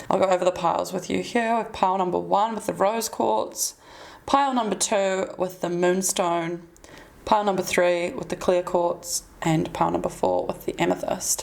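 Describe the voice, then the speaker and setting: Using ordinary pitch variation, a woman with a New Zealand accent speaks at a medium pitch. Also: moderate pace. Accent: Kiwi. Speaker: tarot reader. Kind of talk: tarot reading.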